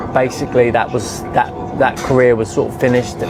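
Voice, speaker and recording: A fairly quick voice in a southern English accent, over noticeable background noise. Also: man. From England. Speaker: travel vlogger. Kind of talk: casual chat. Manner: slurred, sounds drunk.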